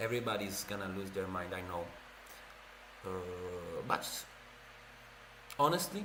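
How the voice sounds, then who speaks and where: Over noticeable background noise and audible room echo, a man with an Italian accent speaks at a fairly slow pace in a very deep, low pitch, with fairly even intonation and long, frequent pauses. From Italy. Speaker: streamer. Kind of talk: casual livestream chat and reading. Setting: livestream. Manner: casual, hesitant with fillers.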